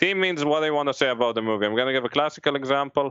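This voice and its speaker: Talking very fast in a strong non-native accent, a man uses ordinary pitch variation. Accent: thick foreign. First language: not English. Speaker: screenwriter. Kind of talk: casual panel discussion. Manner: halting, many restarts.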